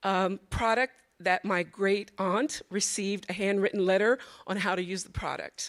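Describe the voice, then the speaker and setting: A plain, everyday voice speaks at a moderate pace with fairly even intonation. The recording is very clean, with a silent background. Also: woman. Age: 60s. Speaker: audience member, art registrar. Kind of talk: audience comment at panel Q&A.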